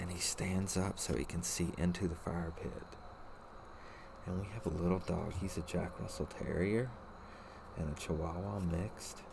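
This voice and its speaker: A soft-spoken man talks at a moderate pace with a very deep, low pitch and fairly even intonation, leaving long, frequent pauses. Noticeable background noise and audible room echo sit behind him. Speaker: card-opening video creator. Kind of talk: ASMR card opening. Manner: quiet, soft-spoken.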